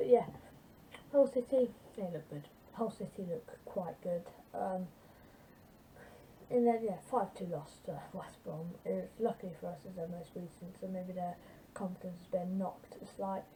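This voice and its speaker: Quiet and at a medium pitch, a woman talks at a moderate pace with ordinary pitch variation. Her loudness swings widely, and she takes long, frequent pauses. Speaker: football fan vlogger. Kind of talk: casual football preview vlog. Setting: home at night. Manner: quiet, subdued volume; hesitant, many fillers.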